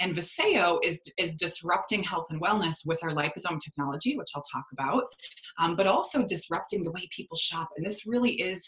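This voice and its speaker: Speech comes fairly quickly, with background noise clearly audible. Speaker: network marketing team leader. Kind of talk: sales presentation on video call. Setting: video call. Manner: fast.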